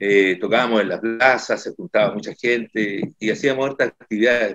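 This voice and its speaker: Against a quiet background, a man with a medium pitch uses a normal speaking voice at a fairly quick pace. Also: dry sound with no echo. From Copiapó, northern Chile. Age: 60s. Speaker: musician and council candidate. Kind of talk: political candidate interview. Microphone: video call.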